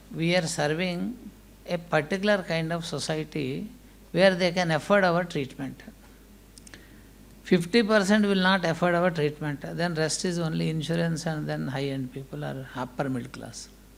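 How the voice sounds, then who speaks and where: There is audible room echo around a man whose fairly high pitch shows ordinary variation. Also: moderate pace. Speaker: hospital managing director. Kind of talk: conference speech.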